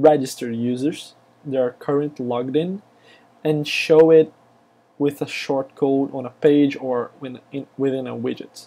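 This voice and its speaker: A man with a Brazilian accent speaks at a fairly high pitch in a dark, mellow tone, and his loudness swings widely. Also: fairly even intonation, moderate pace. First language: Portuguese. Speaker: software developer, screencaster. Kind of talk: tutorial. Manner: hesitant, many fillers.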